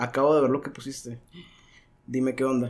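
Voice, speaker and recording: A man's voice, monotone and flat in intonation. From Mexico, Sonora (Caborca). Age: 30s. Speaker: podcast guest. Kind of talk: casual chat. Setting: studio.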